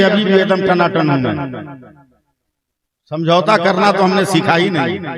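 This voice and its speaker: Audible room echo surrounds a man with a high pitch who leaves long, frequent pauses. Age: 60s. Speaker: Islamic cleric and preacher. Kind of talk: religious sermon at a public gathering. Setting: stage with audience. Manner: animated, rhetorical.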